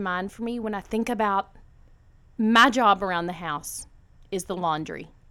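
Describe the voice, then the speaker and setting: In a very clean recording with a silent background, a woman with an American accent speaks in a bright, sharp tone with lively intonation. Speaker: podcast host. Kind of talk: casual chat.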